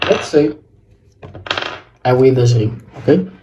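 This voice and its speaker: A man is speaking. He talks with a South African accent. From South Africa, George in the Western Cape. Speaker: fashion vlogger. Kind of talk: casual fashion tutorial vlog. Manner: halting.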